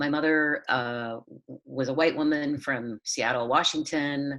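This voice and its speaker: Using fairly even intonation, a woman with an American accent speaks in a very deep, low pitch. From Southern California. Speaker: playwright. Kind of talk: casual chat.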